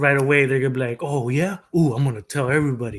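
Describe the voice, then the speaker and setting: A man with a Mexican accent, a fairly high pitch and ordinary pitch variation. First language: Spanish. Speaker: streamer. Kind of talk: casual livestream commentary. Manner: halting, frequent fillers and repetitions.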